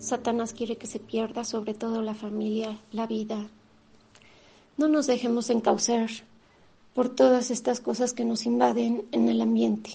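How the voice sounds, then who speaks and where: At a fairly slow pace, a woman speaks with a fairly high pitch and fairly even intonation. Her voice is somewhat breathy with a dark, mellow tone. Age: 50s. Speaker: radio host. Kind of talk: radio talk, personal testimony. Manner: halting.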